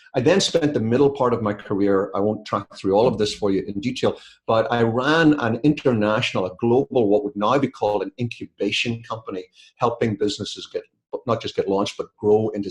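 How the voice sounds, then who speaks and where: A man's somewhat breathy voice at medium pitch, with ordinary pitch variation and a fairly quick pace. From UK. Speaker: business author and consultant. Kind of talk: webinar presentation. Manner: conversational, with fillers.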